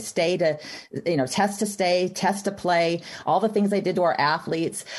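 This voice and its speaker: Speaking at a fairly low pitch in an unremarkable speaking voice, a woman has an American accent. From Texas. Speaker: activist mother. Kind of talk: interview.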